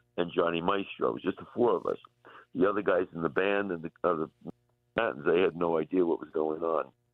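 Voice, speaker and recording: A man with an American accent and a very deep, low pitch speaks at a fairly quick pace. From US Northeast, Long Island, New York. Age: 70s. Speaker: rock musician. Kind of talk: radio interview. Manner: halting.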